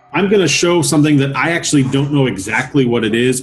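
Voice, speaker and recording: With music playing behind him, a man talks at a medium pitch with ordinary pitch variation. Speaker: auctioneer, collector. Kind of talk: interview answer.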